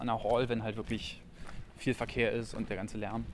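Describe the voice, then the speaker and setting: Talking very fast, this man holds a medium pitch. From Frankfurt (Oder), Brandenburg. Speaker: graffiti artist. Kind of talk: casual chat. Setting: outdoors on a city tour.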